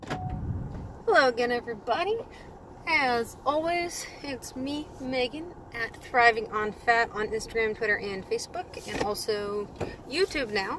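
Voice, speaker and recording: Against noticeable background noise, a woman with an American accent speaks fairly slowly at a high pitch with lively intonation. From California. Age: 20s. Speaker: health coach. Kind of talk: casual vlog monologue. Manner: casual, with fillers and self-corrections.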